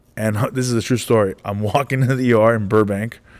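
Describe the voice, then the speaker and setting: A man speaks with an American accent. His tone is animated. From Los Angeles. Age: 40s. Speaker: stand-up comedian. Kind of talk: interview storytelling.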